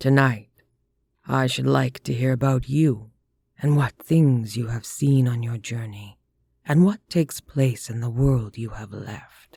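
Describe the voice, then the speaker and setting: Using a resonant put-on character voice at medium pitch, a man talks at a fairly slow pace. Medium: read story. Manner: placid, formal, measured.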